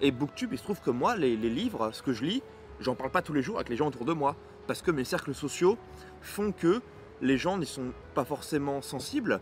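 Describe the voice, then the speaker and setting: A man talks at a fairly high pitch and fairly quick pace. His voice is somewhat breathy, with lively intonation. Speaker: booktuber. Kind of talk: casual vlog monologue. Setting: outdoors in the sun. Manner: fast, mumbles words at times.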